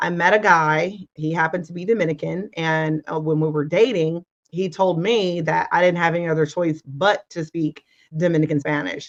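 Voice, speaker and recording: With an American accent and an ordinary speaking voice, a woman talks at a moderate pace in a fairly low pitch with fairly even intonation. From United States. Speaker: former ESL teacher, interview guest. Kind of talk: interview.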